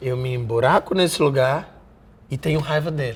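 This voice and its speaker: With a Rio de Janeiro accent, a man speaks somewhat breathily at a moderate pace and medium pitch, his pitch varying in an ordinary way. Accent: Rio de Janeiro (carioca). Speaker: actor. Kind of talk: interview. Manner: repetitive, halting.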